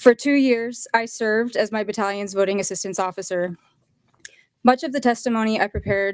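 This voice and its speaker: A woman talks at a fairly quick pace in an American accent, her intonation fairly even. The sound is dry and close, with no echo. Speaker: public commenter at hearing. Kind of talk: public testimony. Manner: halting, possible stumbles.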